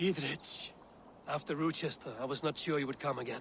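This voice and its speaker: In a put-on character voice, a man speaks raspy and fairly high-pitched at a fairly quick pace over clear background noise. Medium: video game. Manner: commanding, steady.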